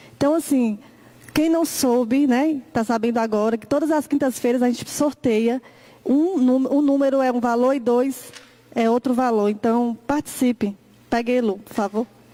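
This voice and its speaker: A woman with a high pitch speaks at a moderate pace with fairly even intonation. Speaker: event host. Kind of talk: announcement.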